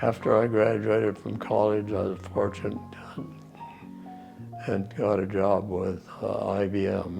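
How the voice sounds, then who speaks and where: The speaker has an American accent and a monotone, flat intonation. The pace is fairly slow with long, frequent pauses, and music plays in the background. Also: man. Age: 80s+. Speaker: war veteran. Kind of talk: interview answer.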